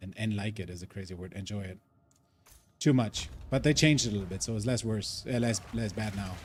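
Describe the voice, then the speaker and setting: Speaking with a non-native accent, a man has a fairly low, somewhat breathy voice. He moves at a fairly quick pace with ordinary pitch variation. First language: not English. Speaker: gaming streamer. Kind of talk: live gameplay stream chat. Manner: casual, filler-heavy.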